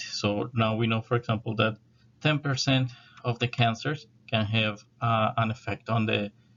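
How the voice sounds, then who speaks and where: A man with a South American accent, medium in pitch, at a moderate pace and with fairly even intonation. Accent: South American accent, noticeable. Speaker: university lecturer. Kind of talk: lecture.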